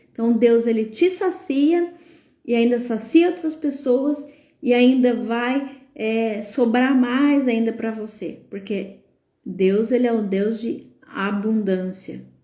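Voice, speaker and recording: Lively intonation marks a woman's fairly high-pitched voice, dark and mellow in tone. She speaks at a very slow pace amid audible room echo. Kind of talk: live stream talk, sermon-like. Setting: live stream. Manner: filler-heavy, hesitant.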